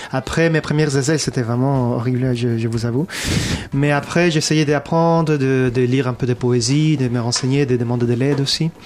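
With noticeable background noise, a man's fairly high voice moves at a moderate speed, its pitch varying in an ordinary way. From abroad, not France. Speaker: musician. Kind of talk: interview chat. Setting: studio.

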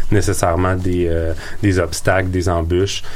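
Amid noticeable background noise and audible room echo, a man speaks in a very deep, low pitch with monotone, flat intonation. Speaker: entrepreneurship coach. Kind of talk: radio interview. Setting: studio.

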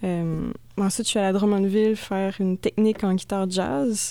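In a very clean recording with a silent background, a woman speaks fairly slowly at a medium pitch, her tone dark and mellow and her intonation fairly even. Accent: Quebec. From Quebec, Thetford Mines. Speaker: experimental musician. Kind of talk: casual radio interview.

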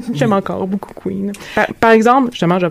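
Noticeable background noise beneath a fairly quick pace of speech. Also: woman. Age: 30s. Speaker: podcast host. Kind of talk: casual discussion.

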